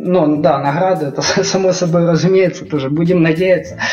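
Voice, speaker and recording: A man talks at a fairly quick pace. Noticeable background noise and audible room echo come through. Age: 30s. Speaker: game developer. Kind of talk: casual chat.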